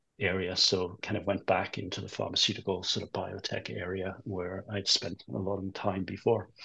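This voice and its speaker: Vocal fry colors speech delivered at a moderate tempo. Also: man. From England. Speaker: finance executive. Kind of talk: interview. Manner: hesitant, many fillers.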